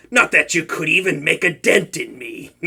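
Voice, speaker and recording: A man performs in a put-on character voice. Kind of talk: comedic audio roleplay. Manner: playful, flustered, stammering.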